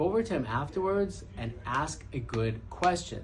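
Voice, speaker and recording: A man talks with a Brooklyn accent. Audible room echo surrounds his voice. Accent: Brooklyn New York. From Brooklyn, New York. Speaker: podcast host, entrepreneur. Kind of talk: casual monologue.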